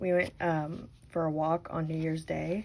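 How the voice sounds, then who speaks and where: Her voice sits fairly low for a woman and carries a dark, mellow tone. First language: not English. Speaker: crochet tutorial host. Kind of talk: tutorial with casual chat. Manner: casual, chatty with fillers.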